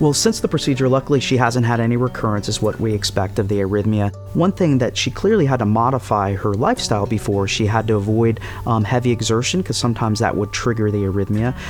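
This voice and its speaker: A man's medium-pitched voice at a very fast pace, hardly any pauses, fairly even intonation and very even loudness, with music in the background. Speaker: electrophysiologist. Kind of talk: interview answer.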